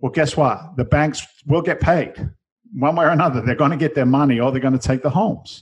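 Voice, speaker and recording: Somewhat breathy and fairly high in pitch, a man speaks at a fairly quick pace with ordinary pitch variation. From London, England. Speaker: real estate investor and TV personality. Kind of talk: casual interview chat.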